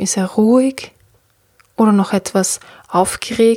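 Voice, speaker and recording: A woman with a fairly high, somewhat breathy voice and a gentle, soothing tone speaks at a fairly slow pace with ordinary pitch variation, recorded dry and close with no echo. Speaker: podcast host and meditation guide. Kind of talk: guided meditation. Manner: slow, soothing, calm; gentle, with long pauses.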